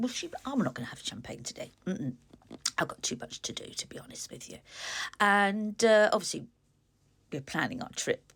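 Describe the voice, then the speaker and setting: With an English accent and vocal fry, a woman at a medium pitch swings very widely in pitch and greatly in loudness, leaving long, frequent pauses. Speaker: author and vlogger. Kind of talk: casual vlog. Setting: at home.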